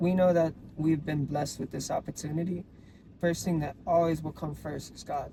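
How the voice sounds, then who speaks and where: Speaking in a Hawaiian accent at a moderate pace, a man uses a fairly high pitch and a dark, mellow tone, his intonation monotone and flat and his loudness swinging widely. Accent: Hawaiian local English. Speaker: podcast co-host. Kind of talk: casual chat.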